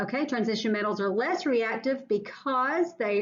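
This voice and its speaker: A normal speaking voice rises and falls with lively intonation. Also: woman. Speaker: science teacher. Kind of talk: lecture.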